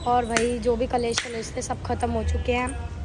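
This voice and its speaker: The speech goes at a fairly slow pace amid audible room echo and noticeable background noise. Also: woman. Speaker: vlogger. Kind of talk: casual vlog chat.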